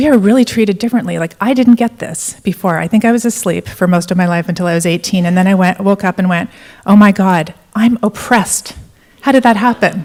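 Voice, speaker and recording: Speaking at a very fast pace, a woman with an American accent has a medium pitch, ordinary pitch variation and a somewhat breathy quality. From Canada. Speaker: entrepreneur and conference speaker. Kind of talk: conference keynote talk. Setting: stage with audience.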